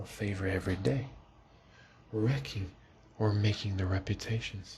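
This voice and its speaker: A man speaks at a moderate pace with a fairly low pitch. His voice is somewhat breathy. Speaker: ASMR reader / channel host. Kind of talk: soft-spoken ASMR book reading for sleep.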